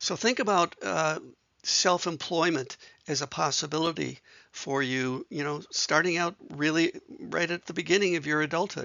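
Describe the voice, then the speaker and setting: A man speaks at a moderate pace. His fairly high voice has vocal fry. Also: ordinary pitch variation. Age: 70s. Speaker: author and speaker on neurodiversity. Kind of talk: informational video talk. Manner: hesitant, many fillers.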